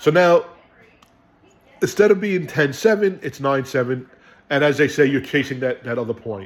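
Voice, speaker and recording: With a New York accent and a fairly high pitch, a man speaks in an animated tone and lively intonation, leaving long, frequent pauses. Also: moderate pace. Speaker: sports fan video host. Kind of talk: casual game recap.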